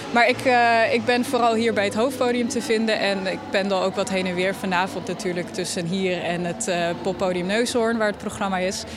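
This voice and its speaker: Against noticeable background noise, a woman of medium pitch talks with hardly any pauses and ordinary pitch variation. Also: moderate pace. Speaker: festival organizer. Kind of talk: casual interview. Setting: outdoors.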